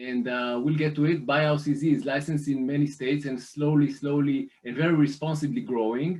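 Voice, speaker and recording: At a moderate pace, a man with an Israeli accent speaks at a fairly high pitch with fairly even intonation. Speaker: private lender representative. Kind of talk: business presentation. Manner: hesitant, many fillers.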